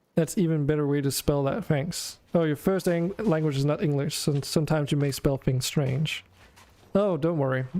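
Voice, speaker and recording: A man's fairly high voice at a very even loudness, with noticeable background noise. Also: ordinary pitch variation, moderate pace. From Denmark. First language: Danish. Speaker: video game streamer. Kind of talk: casual gameplay stream chat.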